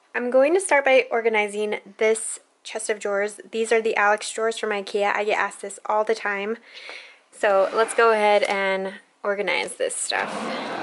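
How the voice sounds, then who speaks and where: Over light background noise, a woman speaks at a moderate pace with fairly even intonation. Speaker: beauty vlogger. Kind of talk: casual vlog chat. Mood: cheerful, light. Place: home room. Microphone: phone near.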